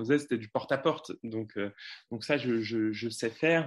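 A man's voice of medium pitch. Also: quiet background. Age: 20s. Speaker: parliamentary candidate. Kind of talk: interview. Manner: confident.

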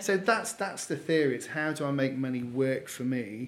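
In a Geordie accent, a man speaks at a fairly high pitch. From northern England, Newcastle. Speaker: finance company founder. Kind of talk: casual interview chat. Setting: office.

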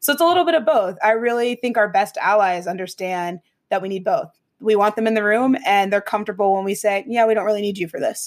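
A woman with an American accent, medium-pitched and very fast. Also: ordinary pitch variation. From US Midwest (Ohio). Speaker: marketing creative and podcaster. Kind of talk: interview conversation.

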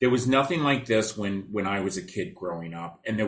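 Here a man talks at a fairly quick pace. His fairly low voice has lively intonation. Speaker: podcast host and foster care charity founder. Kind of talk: interview conversation. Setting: video call. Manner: animated.

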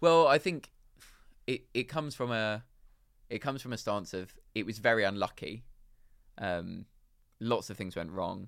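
A man with a London accent speaks at a moderate pace in a medium pitch, his intonation lively and his speech broken by long, frequent pauses, on a very clean recording with a silent background. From London, England. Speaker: drinks company founder. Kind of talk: interview.

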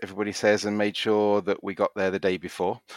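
A man with a British accent at a very fast pace. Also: dry, close sound with no echo. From UK. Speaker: cruise passenger. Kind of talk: casual interview. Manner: halting, many fillers and repeats.

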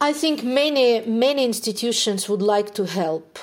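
Someone with a Ukrainian accent speaks at a moderate pace with ordinary pitch variation over noticeable background noise. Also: woman. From Ukraine. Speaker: neuroscientist. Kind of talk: interview.

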